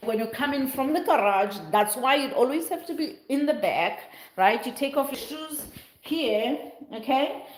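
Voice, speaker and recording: In a South African accent, the speaker sounds animated, with lively intonation at a moderate pace. Audible room echo is present. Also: woman. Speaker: vlogger. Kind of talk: casual vlog house tour.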